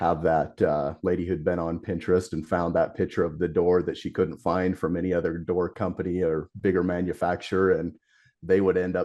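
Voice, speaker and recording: A man speaks at a moderate pace with a very deep, low pitch and a dark, mellow tone. The background is quiet. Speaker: garage door company owner. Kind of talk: casual interview chat. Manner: hesitant, many fillers.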